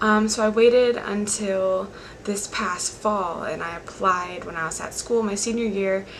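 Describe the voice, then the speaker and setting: Quiet and at a fairly slow pace, a woman with an American accent speaks at medium pitch with fairly even intonation, amid audible room echo and noticeable background noise. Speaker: college student speaker. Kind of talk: motivational talk.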